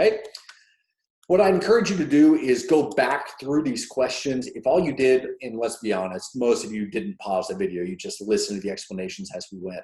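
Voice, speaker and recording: Speaking at a fairly quick pace, a man with a fairly high pitch moves through very wide pitch swings. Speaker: economics teacher. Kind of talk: tutorial.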